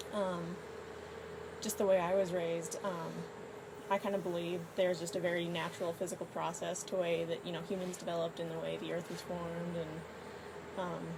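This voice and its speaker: The speech moves at a fairly quick pace with long, frequent pauses, amid noticeable background noise and audible room echo. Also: woman. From East Texas. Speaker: university student, atheist. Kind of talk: casual debate. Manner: hesitant, many fillers.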